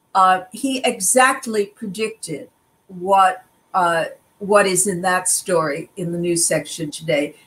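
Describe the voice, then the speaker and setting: A woman speaks very slowly in an American accent. Her pitch is medium and its variation ordinary. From US, child of German refugees. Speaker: journalist and professor; journalist, professor. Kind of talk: interview. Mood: reflective, earnest.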